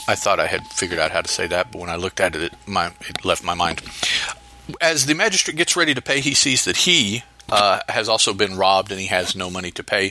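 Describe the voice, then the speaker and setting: Against noticeable background noise, the speaker talks at a fairly quick pace with lively intonation. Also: man, fairly low pitch for a man. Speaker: podcast host. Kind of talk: solo podcast episode review and story notes. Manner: halting, hesitant with fillers.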